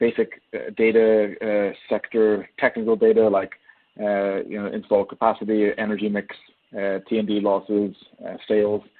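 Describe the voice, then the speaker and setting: A man talks with an Irish accent. His pitch sits fairly low. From Ireland. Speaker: energy sector economist. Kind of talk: webinar presentation. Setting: webinar. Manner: hesitant, many fillers.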